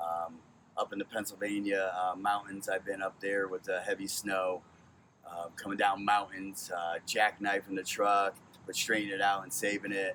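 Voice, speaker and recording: Over noticeable background noise, someone with an American accent talks at a moderate pace in a flat, monotone way. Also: man, fairly low pitch for a man. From Connecticut. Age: 40s. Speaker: truck driver. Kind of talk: audition monologue. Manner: loud.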